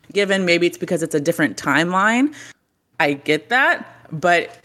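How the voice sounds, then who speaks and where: A woman with an American accent speaks at a moderate pace, her pitch fairly low and her intonation lively. Her tone is bright and sharp, and the recording is very clean with a silent background. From Texas. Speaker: gaming content creator. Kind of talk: casual chat.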